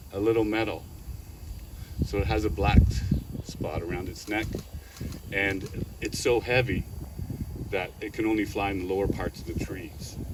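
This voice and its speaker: A man's fairly low-pitched voice with ordinary pitch variation amid noticeable background noise. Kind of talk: public speech at art unveiling. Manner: halting, many fillers; loud.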